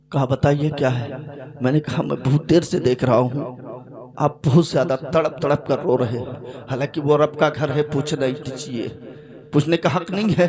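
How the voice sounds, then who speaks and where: Amid noticeable background noise, a man talks with a fairly high pitch and fairly even intonation. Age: young. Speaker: Islamic preacher. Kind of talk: religious sermon. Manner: emotional storytelling.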